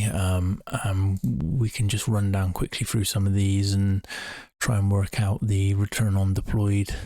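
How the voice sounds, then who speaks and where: A man speaks quietly at a fairly low pitch, his voice somewhat breathy. His intonation is fairly even, and the recording is very clean with a silent background. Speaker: amateur investor live streamer. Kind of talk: live stream commentary. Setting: shut away in a room at home, late at night.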